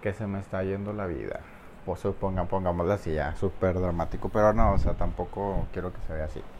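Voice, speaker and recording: With a Mexican accent, a man with a very deep, low pitch talks at a fairly quick pace and keeps his intonation fairly even. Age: 20s. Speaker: podcaster. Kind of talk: casual monologue.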